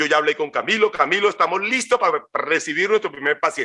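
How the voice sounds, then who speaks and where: A man raises and projects his voice, high-pitched with a bright, sharp tone. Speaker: physician speaker. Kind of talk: lecture. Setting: webinar. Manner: fast; halting.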